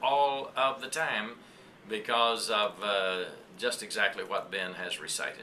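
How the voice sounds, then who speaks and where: Noticeable background noise and audible room echo fill the clip. The speech is fairly slow, with ordinary pitch variation. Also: man. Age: 70s. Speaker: pastor. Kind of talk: interview.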